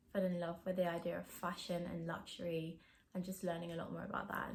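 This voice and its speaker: Speaking at a fairly quick pace, a woman with a fairly low pitch sounds somewhat breathy in a southern English accent. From England, countryside outside London. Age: 20s. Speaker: vlogger. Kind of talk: casual Q&A vlog talk.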